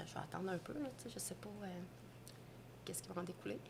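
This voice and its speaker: A woman is speaking. She has a Quebec accent. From Quebec, Trois-Rivières. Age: 40s. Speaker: restaurant owner. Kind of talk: interview. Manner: casual, hesitant with fillers.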